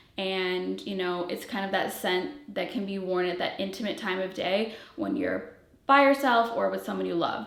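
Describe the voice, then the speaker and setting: Audible room echo and noticeable background noise surround the recording. A woman speaks at a moderate pace. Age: 30s. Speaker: fragrance brand founder and reviewer. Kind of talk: product presentation to viewers. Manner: casual, filler-heavy.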